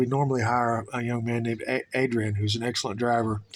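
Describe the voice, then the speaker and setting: With a Southern US accent, a man talks at a very fast pace. His medium-pitched voice has monotone, flat intonation. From US South, Tennessee. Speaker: vlogger. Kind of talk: travel vlog monologue. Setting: indoors, power out. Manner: hesitant, many filler words.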